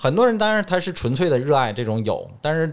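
Recorded very cleanly over a silent background, a man talks at a fairly quick pace with a northeastern Chinese accent. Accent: Northeast Chinese. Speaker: dentist. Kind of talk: casual chat.

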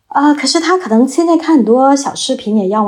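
A woman with a plain, everyday voice, a fairly quick pace and lively intonation. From China. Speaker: former journalist, student. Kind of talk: casual chat.

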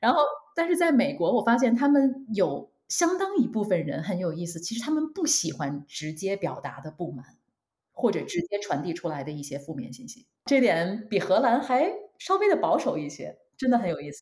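A somewhat breathy woman speaks at a moderate pace, her pitch swinging very widely. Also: medium pitch for a woman, big swings in loudness. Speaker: marketing manager. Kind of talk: casual interview. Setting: online call. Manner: hesitant with fillers.

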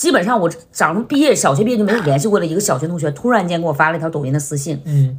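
At a very fast pace with hardly any pauses, the speaker sounds somewhat breathy, with an animated tone and lively intonation. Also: woman, fairly low pitch for a woman. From Northeast China. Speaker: comedic short-video creator. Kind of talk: casual chat.

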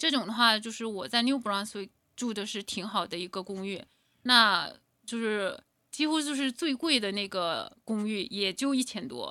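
A woman with a bright, sharp tone and fairly high pitch uses lively intonation at a moderate pace in a very clean recording with a silent background. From Inner Mongolia, China. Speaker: entrepreneur. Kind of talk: interview. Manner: halting.

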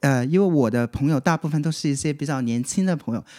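Lively intonation comes through in a very clean, dry, close recording with no echo and a silent background. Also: man. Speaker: fortune teller. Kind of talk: casual chat.

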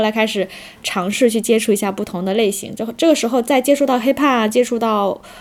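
Fairly quick speech from a woman with a fairly high pitch and ordinary pitch variation. Noticeable background noise runs under her voice. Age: 30s. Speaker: street dance teacher, former office worker. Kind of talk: casual chat. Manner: halting, many fillers.

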